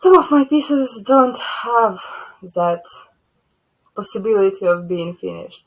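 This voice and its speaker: A woman with a Ukrainian accent, fairly high-pitched, lively intonation, at a fairly slow pace. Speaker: cross-stitch vlogger. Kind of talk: casual show-and-tell vlog. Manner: halting.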